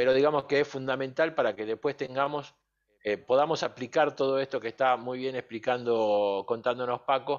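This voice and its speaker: A man talks at a moderate pace with ordinary pitch variation in an ordinary speaking voice. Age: 50s. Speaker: sim racing coach. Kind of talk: online masterclass lecture.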